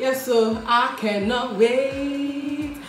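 A woman talks at a high pitch with ordinary pitch variation. There is audible room echo, and faint music plays in the background. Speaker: family vlogger. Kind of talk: casual vlog chat. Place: kitchen. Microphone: phone near.

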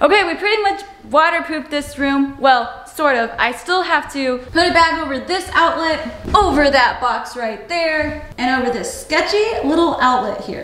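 A woman talks at a moderate pace with few pauses, her pitch high and her tone fairly bright. Her intonation is lively, and faint noise sits in the background.

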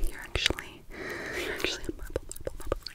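Whispering at a fairly quick pace. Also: woman. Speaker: ASMR creator. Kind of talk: soft-spoken ASMR role-play. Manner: soft close-mic ASMR murmur. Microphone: phone near.

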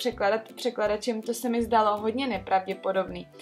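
Faint music plays behind a woman speaking at a fairly high pitch. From Czech Republic, Trutnov. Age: 20s. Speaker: vlogger. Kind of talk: casual story time talk to camera. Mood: earnest, slightly skeptical. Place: home room.

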